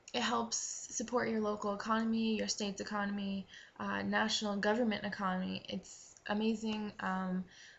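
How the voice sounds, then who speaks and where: A woman's moderate-paced speech carries over noticeable background noise. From Maine, New England. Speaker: vlogger. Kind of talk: casual vlog tips. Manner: hesitant, many fillers.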